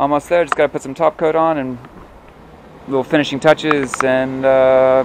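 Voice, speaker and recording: Noticeable background noise sits behind a man's fairly high voice. He speaks in a monotone, flat way with long, frequent pauses. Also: moderate pace. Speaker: boat captain and dinghy builder. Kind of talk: casual talk to camera.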